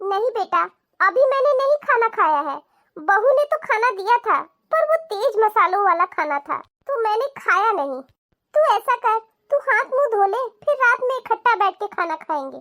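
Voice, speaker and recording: This is a cartoonish character voice with very wide pitch swings at a moderate pace. The sound is dry and close, with no echo. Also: woman, extremely high pitch for a woman. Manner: soft, polite, yielding.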